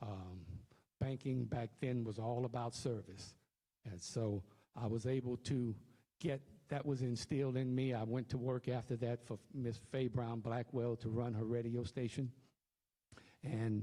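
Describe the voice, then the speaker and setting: A man with a Louisiana accent speaks at a fairly slow pace, leaving long, frequent pauses. His medium-pitched voice has a dark, mellow tone and fairly even intonation. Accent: southern US, Louisiana. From Louisiana, Cameron. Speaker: political candidate. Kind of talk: candidate forum speech. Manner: halting, with fillers.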